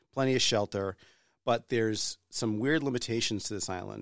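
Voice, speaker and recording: With an American accent, a man speaks at a fairly quick pace in a normal speaking voice, medium in pitch with ordinary pitch variation, on a very clean recording with a silent background. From New Hampshire, US. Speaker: podcast host. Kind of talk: casual interview chat.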